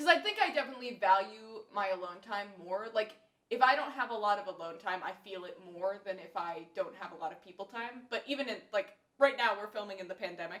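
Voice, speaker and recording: A woman of medium pitch speaks fairly quickly with an American accent. Her intonation is lively and her loudness swings widely. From US South, Nashville, Tennessee. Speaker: podcast host, classical singer. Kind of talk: casual chat.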